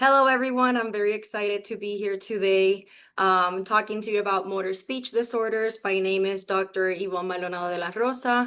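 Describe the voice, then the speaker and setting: Speaking with a Spanish accent over a quiet background, the voice has a bright, sharp tone, fairly even intonation and hardly any pauses. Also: woman, medium pitch for a woman. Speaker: professor. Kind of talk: lecture. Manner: hesitant, many fillers.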